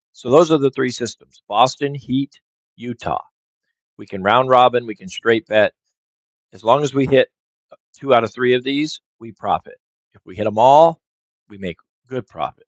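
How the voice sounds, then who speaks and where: A man speaks at a moderate pace and a medium pitch, with ordinary pitch variation, big swings in loudness and long, frequent pauses, in a dry, close sound with no echo. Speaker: sports betting streamer. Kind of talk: live stream commentary. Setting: live stream.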